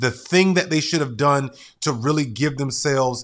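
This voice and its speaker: In a very clean recording with a silent background, a man with an energetic tone talks at a moderate pace and medium pitch, with ordinary pitch variation. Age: 40s. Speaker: podcast host. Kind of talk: motivational solo podcast monologue.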